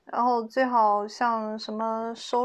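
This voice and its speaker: A woman with a fairly high voice speaks against a quiet background. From China, Hubei province. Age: 30s. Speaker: HR worker and stand-up comedian. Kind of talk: casual chat.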